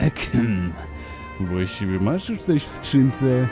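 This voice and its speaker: A man in a put-on character voice, medium in pitch, at a fairly slow pace, with clear music in the background. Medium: dub.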